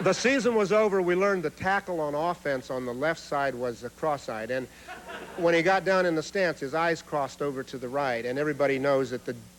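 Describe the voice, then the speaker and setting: Noticeable background noise sits behind a man speaking at a fairly quick pace. His pitch is fairly high, and his intonation is lively. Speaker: humorist. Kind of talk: stand-up comedy routine. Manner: stutters.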